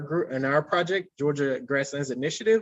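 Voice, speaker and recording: In an American accent, a man speaks at a fairly high pitch with ordinary pitch variation. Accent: Southern drawl, growing stronger with age. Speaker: conservation botanist. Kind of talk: webinar Q&A. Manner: hesitant, many fillers.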